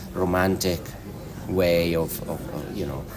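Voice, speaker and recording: A man with a very deep, low pitch speaks with a slight Italian accent. The room echo is audible and the background noise is noticeable. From Italy, Marche region. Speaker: film director. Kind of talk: interview. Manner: halting, many fillers.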